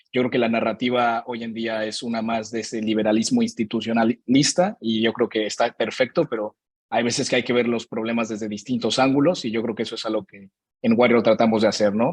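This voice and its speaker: A man with a Mexican accent and a medium-pitched voice speaks at a fairly quick pace with fairly even intonation. The sound is dry and close with no echo, over a quiet background. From Mexico. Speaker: podcast host presenting his show. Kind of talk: virtual panel presentation. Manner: casual, with many fillers.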